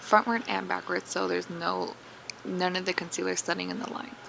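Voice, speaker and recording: Speaking at a fairly quick pace, a woman can be heard over noticeable background noise. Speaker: beauty vlogger. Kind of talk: tutorial. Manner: fast; casual.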